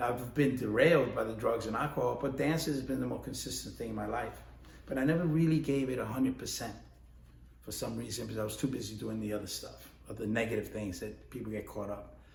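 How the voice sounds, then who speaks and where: A man speaks at a very fast pace, and room echo can be heard. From New York, the Bronx. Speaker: ballroom dance instructor and competitor. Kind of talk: casual instructional talk. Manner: conversational, with many fillers.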